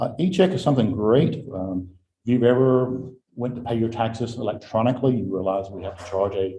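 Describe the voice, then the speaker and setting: This man speaks with an American accent at a medium pitch and a fairly quick pace, his tone dark, mellow and somewhat breathy, with ordinary pitch variation. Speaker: county tax administrator. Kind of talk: report to a county board. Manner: fast.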